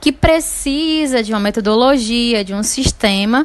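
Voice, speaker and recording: A woman's high-pitched voice amid noticeable background noise. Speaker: teacher. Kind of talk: lecture.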